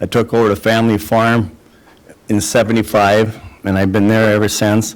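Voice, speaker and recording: At a moderate pace, a man talks with a fairly low pitch. His intonation is monotone and flat. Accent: Upper Midwest. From Minnesota, Otter Tail County. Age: 60s. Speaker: dairy farmer, political candidate. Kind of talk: debate opening statement. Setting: city hall, live broadcast with audience.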